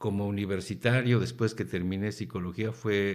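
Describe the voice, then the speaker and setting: A man speaks with a Mexican accent at a moderate pace, his pitch fairly low. The recording is very clean, with a silent background. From Mexico. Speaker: professor. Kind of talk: radio interview.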